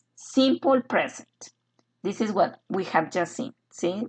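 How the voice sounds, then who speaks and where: Against a quiet background, a somewhat breathy voice speaks at a fairly slow pace with lively intonation. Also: woman. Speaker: English teacher. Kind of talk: online lecture. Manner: hesitant with filler sounds.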